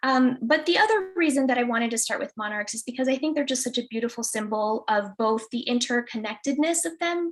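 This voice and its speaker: Delivered at a fairly quick pace with lively intonation and hardly any pauses, the speech sits over noticeable background noise. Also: woman, high pitch for a woman. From Chicago (Pilsen, Mexican-American neighborhood). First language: Spanish. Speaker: restorative justice educator. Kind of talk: presentation. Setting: video call. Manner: many fillers (um, uh).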